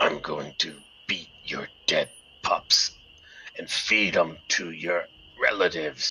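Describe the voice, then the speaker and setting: A man puts on a gravelly character voice. He talks fairly slowly, with long, frequent pauses. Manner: menacing, whispering.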